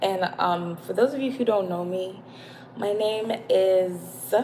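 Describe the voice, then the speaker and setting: Over noticeable background noise, a woman speaks at a fairly slow pace with a medium pitch and ordinary pitch variation. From born in UK, moved to US. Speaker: spiritual live streamer. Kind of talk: live stream monologue. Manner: hesitant, many filler words.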